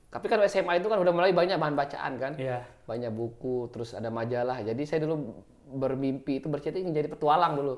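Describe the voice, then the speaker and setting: A man with a fairly high pitch rattles through his words at a very fast pace. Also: lively intonation. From Lombok, Indonesia (Loyok village); Lombok, Indonesia. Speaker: journalist. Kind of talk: casual interview. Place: studio. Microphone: lapel.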